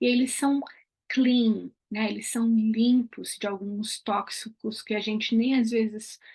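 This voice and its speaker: Somewhat breathy and fairly high-pitched, a woman speaks at a fairly slow pace with monotone, flat intonation over a quiet background. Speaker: aromatherapy educator. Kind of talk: online class.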